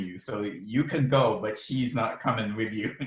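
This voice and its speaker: A man speaks with an American accent at a fairly slow pace. His voice is somewhat breathy, with ordinary pitch variation. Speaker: mystery novelist and physician. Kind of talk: author interview. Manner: halting, many fillers.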